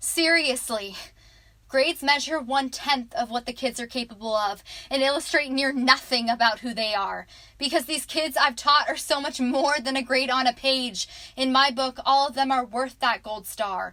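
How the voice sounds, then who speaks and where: A woman's raised, projected voice, high and bright with a sharp tone, at a moderate pace with ordinary pitch variation. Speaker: student, aspiring teacher. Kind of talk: spoken word poetry.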